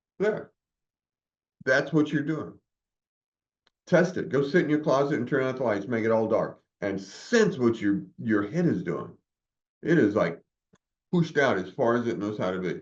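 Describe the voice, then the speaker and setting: With vocal fry and an animated tone, a man talks at a moderate pace, swinging very widely in pitch and leaving long, frequent pauses. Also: medium pitch for a man. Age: 70s. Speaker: meditation group leader. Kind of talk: group discussion.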